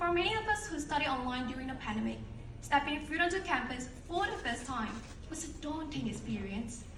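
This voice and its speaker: The speech moves at a fairly quick pace with lively intonation. Noticeable background noise and audible room echo fill the recording. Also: woman. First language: not English. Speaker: alumni speaker. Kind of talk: ceremony speech. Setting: stage with audience. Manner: formal.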